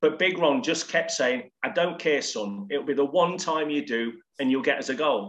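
A man with a plain, everyday voice speaks at a moderate pace, his pitch fairly high with ordinary variation. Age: 40s. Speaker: former professional footballer. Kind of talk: casual chat. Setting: remote call from home office.

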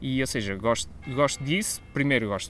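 This man's pitch is medium. He keeps up a fairly quick pace. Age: 30s. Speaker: podcast co-host. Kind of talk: casual chat. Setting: outdoors in a garden.

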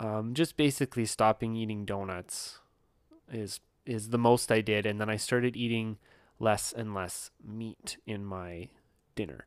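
A man speaks at a fairly slow pace and fairly low pitch with fairly even intonation in an ordinary speaking voice. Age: 30s. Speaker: yoga and wellness podcaster. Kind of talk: solo monologue. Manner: casual, with frequent fillers and laughs.

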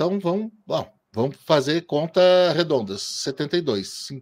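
A man's fairly high voice with very wide pitch swings, in a very clean recording over a silent background. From Brazil, interior of Paraná. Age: 40s. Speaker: motorsport podcaster and columnist. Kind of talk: interview.

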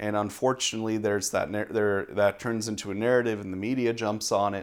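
Using a plain, everyday voice, a man talks at a fairly quick pace with a fairly low pitch and fairly even intonation. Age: 20s. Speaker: seminary student. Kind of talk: interview conversation. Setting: pastor's office.

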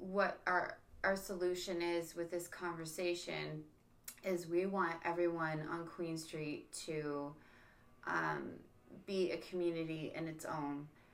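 A woman with a Canadian accent, fairly low in pitch and very slow, with audible room echo. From Niagara, Ontario, Canada. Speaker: podcast host. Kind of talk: casual chat.

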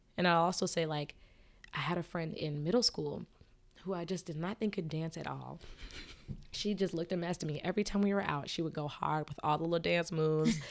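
A woman with an American accent and a fairly low voice talks at a fairly quick pace. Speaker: musician and content strategist. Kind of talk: casual interview chat. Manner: animated, casual.

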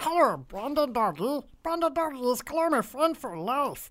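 A female-sounding, high-pitched, put-on character voice moves at a moderate pace. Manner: obnoxious.

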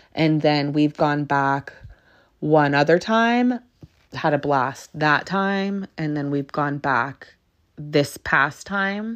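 Very slow speech with lively intonation against a quiet background. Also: woman, very deep, low pitch for a woman. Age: 30s. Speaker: podcast host. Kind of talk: casual monologue. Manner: hesitant, many fillers.

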